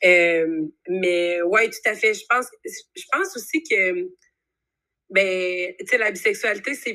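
This woman has a Quebec accent and a bright, sharp tone at a medium pitch. She talks very slowly, with ordinary pitch variation and big swings in loudness. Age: 20s. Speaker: university student. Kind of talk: casual interview.

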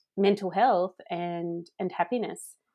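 In an Australian accent, a woman speaks at a medium pitch. Her intonation stays fairly even. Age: 40s. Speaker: happiness coach. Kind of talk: interview.

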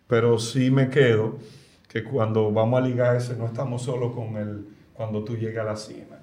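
Monotone, flat delivery from a man at medium pitch and moderate pace, with audible room echo. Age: 40s. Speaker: cook. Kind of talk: casual chat.

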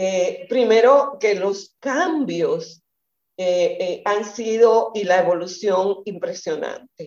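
Very slow speech with lively intonation. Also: woman. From Dominican Republic, eastern region. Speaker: feminist activist and teacher. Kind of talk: radio interview. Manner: halting.

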